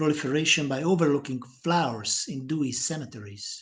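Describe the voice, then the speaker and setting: A man with a Hungarian accent speaks in a fairly high, somewhat breathy voice with ordinary pitch variation against a quiet background. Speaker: poet. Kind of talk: poetry reading. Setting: live stream.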